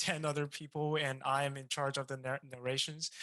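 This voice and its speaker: A speaker with a non-native accent is heard in a very clean recording with a silent background. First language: not English. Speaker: game design student. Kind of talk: casual chat.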